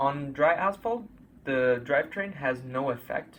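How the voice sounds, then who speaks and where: A man speaks in a somewhat breathy voice. He goes at a very slow pace, with ordinary pitch variation. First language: Italian. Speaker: gaming YouTuber. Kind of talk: tutorial. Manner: hesitant, with filler sounds.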